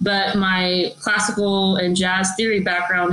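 A woman speaks at a medium pitch with an American accent. Noticeable background noise runs underneath. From Dallas, Texas. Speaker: singer-songwriter. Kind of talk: casual interview chat.

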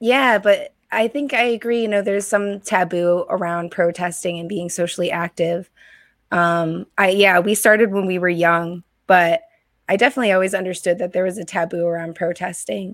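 This woman has a normal speaking voice, talking at a moderate pace at a medium pitch with ordinary pitch variation. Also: very clean recording, silent background. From US Northeast, Connecticut. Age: 30s. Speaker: writer and independent journalist. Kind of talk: casual chat.

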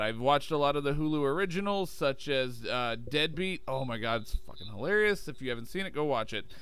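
Talking at a fairly quick pace, a man with a normal speaking voice has a fairly high pitch and ordinary pitch variation. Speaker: podcast co-host. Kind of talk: casual podcast banter.

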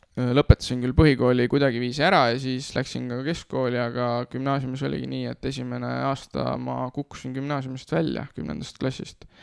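This is a man with a normal speaking voice at medium pitch. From Estonia, Nõo (Tartu County). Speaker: youth worker and church community leader. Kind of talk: interview testimony.

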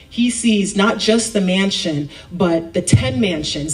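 Set against background music, a woman speaks with a fairly low pitch and lively intonation. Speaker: youth speaker giving a message at church. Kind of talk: sermon. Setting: church. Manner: informal, conversational with filler words.

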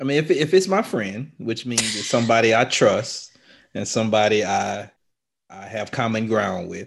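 In a playful tone, a man with a Southern US accent talks at a moderate pace in a fairly low voice with ordinary pitch variation, on a very clean recording with a silent background. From US South, New Orleans. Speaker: podcast host. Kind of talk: casual banter. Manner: joking, playful.

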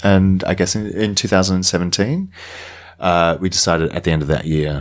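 A man with an Australian accent speaks at a very deep, low pitch with ordinary variation. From Queensland, Australia. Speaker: actor and director. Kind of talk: casual interview chat. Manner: reflective, low energy.

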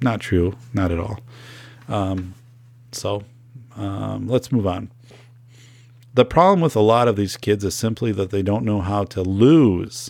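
A man speaks with an Upper Midwest accent at a fairly low pitch. His pace is fairly slow, with long, frequent pauses. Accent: Upper Midwest American. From northern Wisconsin. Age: 40s. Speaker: podcast host, school safety expert. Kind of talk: solo podcast monologue.

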